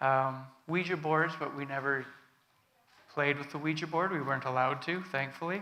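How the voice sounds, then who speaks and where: A man with a Canadian accent speaks at a moderate pace in a fairly high pitch, his bright, sharp tone and fairly even intonation broken by long, frequent pauses, with audible room echo. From Canada, British Columbia (Prince George). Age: 40s. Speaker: guest speaker giving testimony. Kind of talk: sermon testimony. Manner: halting, many fillers.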